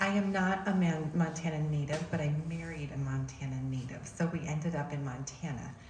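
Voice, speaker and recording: A woman's soft-spoken, very deep, low voice at a fairly quick pace with hardly any pauses, fairly even intonation, audible room echo and noticeable background noise. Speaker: education advocacy group chair. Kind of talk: public presentation. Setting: church hall talk with audience, using a mic.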